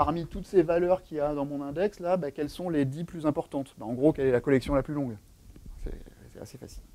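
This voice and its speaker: A man's dark, mellow voice at a fairly quick pace, with ordinary pitch variation and big swings in loudness. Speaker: software developer advocate giving a tech talk; conference presenter. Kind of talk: tech talk with live demo. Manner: fast. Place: meeting room.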